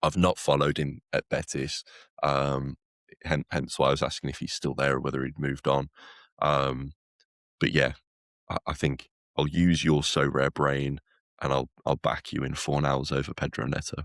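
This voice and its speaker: A man with a very deep, low voice and vocal fry talks at a moderate pace in a monotone, flat delivery, leaving long, frequent pauses, the sound dry and close with no echo. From West Midlands, Wolverhampton. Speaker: podcast co-host. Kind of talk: casual chat.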